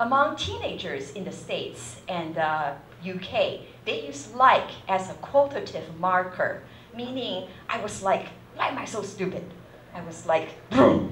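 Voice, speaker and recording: A woman at medium pitch and a fairly slow pace, with very wide pitch swings, big swings in loudness, audible room echo and noticeable background noise. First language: not English. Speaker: university lecturer. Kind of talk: lecture. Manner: hesitant, many fillers.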